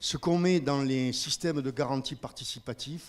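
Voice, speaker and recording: A man's fairly high voice on a very clean recording with a silent background. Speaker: organic farmer. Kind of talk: audience comment in a panel discussion. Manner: halting.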